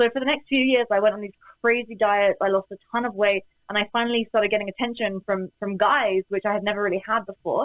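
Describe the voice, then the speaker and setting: The speech rushes by at a very fast pace with fairly even intonation. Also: woman, medium pitch for a woman. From UK. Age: 20s. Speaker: entrepreneur and business coach. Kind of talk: interview conversation.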